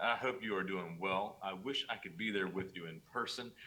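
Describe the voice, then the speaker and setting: At a fairly quick pace, a man with a North Carolina accent speaks with a fairly low pitch, ordinary pitch variation and a bright, sharp tone. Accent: North Carolina twang. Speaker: organization CEO. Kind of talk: pre-recorded welcome video. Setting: pre-recorded video while traveling.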